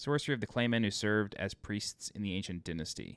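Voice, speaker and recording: A man with an American accent and ordinary pitch variation, in a dry, close sound with no echo and a very clean recording with a silent background. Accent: New York accent, slips out when tired. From New York (Long Island). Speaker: video game walkthrough narrator. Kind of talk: game walkthrough tutorial. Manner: casual, conversational.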